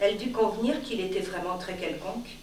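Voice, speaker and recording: Audible room echo and light background noise surround this recording. A woman speaks with fairly even intonation. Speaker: reader of a short story. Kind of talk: literary audiobook reading, a live public reading of a short story. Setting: live reading at an arts venue. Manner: formal, measured literary delivery with elevated diction; slow, deliberate, long-breathed phrasing with dramatic pauses. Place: stage. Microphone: camera far.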